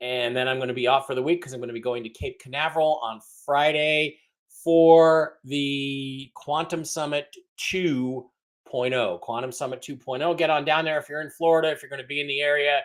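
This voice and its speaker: This man has a normal speaking voice with a fairly high pitch, fairly even intonation, and a moderate pace. His loudness swings a lot, and the recording is very clean with a silent background. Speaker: podcast host. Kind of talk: casual livestream chat. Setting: livestream.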